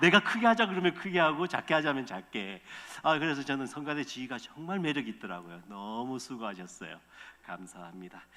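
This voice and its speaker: At a fairly quick pace, a man speaks in a fairly high pitch with very wide pitch swings and big swings in loudness. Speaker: missionary pastor. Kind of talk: sermon. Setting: church. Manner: fast.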